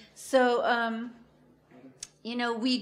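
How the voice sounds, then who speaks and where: A woman speaks with a fairly high pitch. Audible room echo surrounds her voice. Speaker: food co-op membership coordinator. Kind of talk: conference talk.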